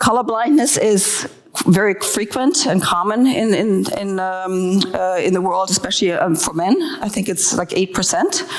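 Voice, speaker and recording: A woman with a German accent at a medium pitch with lively intonation, amid noticeable background noise and audible room echo. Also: moderate pace. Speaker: design leader speaking at a conference. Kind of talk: conference talk. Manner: hesitant, many fillers.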